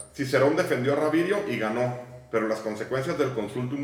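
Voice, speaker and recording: A man talks with lively intonation while noticeable background noise and audible echo fill the room. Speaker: podcast host. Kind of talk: casual chat; history narration read aloud.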